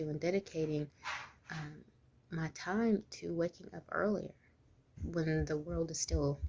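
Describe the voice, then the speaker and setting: Soft-spoken, a woman talks in a very deep, low pitch with a dark, mellow tone and fairly even intonation. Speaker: mom and business owner vlogger. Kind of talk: informal talking-head vlog. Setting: at home, early morning. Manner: quiet, soft-spoken; informal, many fillers.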